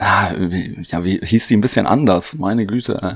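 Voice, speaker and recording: Speech comes at a very slow pace on a very clean recording with a silent background. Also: man. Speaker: podcast co-host and quiz contestant. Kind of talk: casual quiz game chat.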